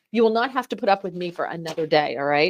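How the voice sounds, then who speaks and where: A woman with an American accent, animated in tone and lively in intonation. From New Jersey. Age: 40s. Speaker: fill-in radio host. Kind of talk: talk radio.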